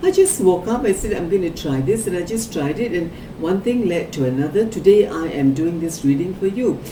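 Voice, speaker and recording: Her medium-pitched voice swings very widely in pitch, with noticeable background noise and audible room echo around the woman. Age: 60s. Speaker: psychic card reader. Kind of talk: psychic reading for a client. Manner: conversational, with filler words.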